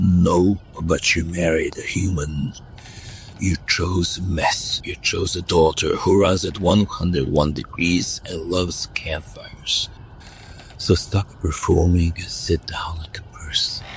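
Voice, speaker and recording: In a put-on character voice, a man speaks at a very deep, low pitch and a fairly slow pace over clear background noise. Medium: audio drama. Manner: blunt, sardonic.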